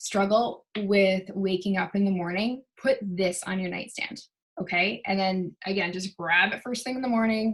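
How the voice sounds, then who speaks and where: Fairly slow, somewhat breathy speech from a woman. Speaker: essential oils seller and wellness vlogger. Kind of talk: casual product chat to camera. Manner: animated.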